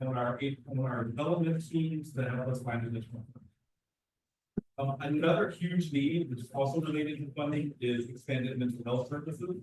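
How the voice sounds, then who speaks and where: At a fairly quick pace, a man with a fairly high, somewhat breathy voice keeps his intonation fairly even. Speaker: after-school program director. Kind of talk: public testimony. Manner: fast.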